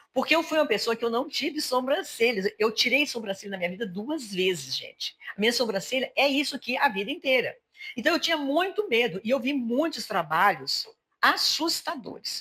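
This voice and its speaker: At a moderate pace, a woman with a high pitch speaks in very wide pitch swings. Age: 60s. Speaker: podcast host. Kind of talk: casual interview chat.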